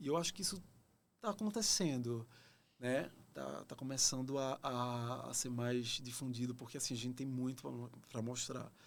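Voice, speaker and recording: A Pernambuco accent at a moderate pace, with ordinary pitch variation. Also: man, medium pitch for a man. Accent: northeastern Brazilian (Pernambuco). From Brazil, Pernambuco (Recife). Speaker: actor. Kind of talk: podcast interview.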